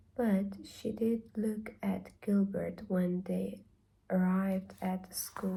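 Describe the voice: The clip is plain reading aloud, the intonation fairly even.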